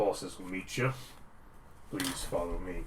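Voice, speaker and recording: Using a put-on character voice, a man speaks at a moderate pace over clear background noise. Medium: actual play. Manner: formal, brief.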